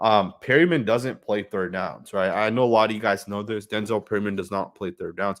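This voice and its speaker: A fairly quick-paced man with a fairly low pitch, in a very clean recording with a silent background. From Northern California. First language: not English (home language of immigrant parents). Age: 20s. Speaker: sports fan streamer. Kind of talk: live game watch-along commentary. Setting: live stream from home computer. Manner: casual, many fillers (um, uh, right).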